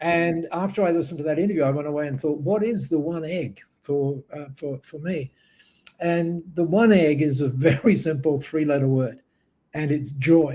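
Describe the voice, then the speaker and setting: A man's somewhat breathy, fairly high voice with a dark, mellow tone and ordinary pitch variation. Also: moderate pace. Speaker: business speaker. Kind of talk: panel interview. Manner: halting with fillers.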